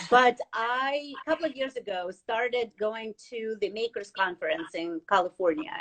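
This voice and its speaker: A woman with a non-native accent speaks in a fairly high pitch. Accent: noticeable foreign. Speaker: financial advisor. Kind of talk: interview. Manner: halting, many fillers.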